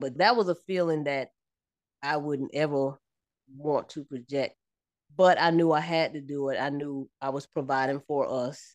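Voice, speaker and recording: In an American accent, a woman with a very deep, low pitch talks at a moderate pace with fairly even intonation, the sound dry and close with no echo. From upstate New York. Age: 50s. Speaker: military veteran and mother. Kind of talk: casual chat.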